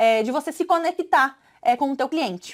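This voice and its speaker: This woman talks with a southern Brazilian accent and lively intonation. Her pace is moderate. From southern Brazil, Santa Catarina. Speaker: sales trainer. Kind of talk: online course lesson. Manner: hesitant, filler-heavy.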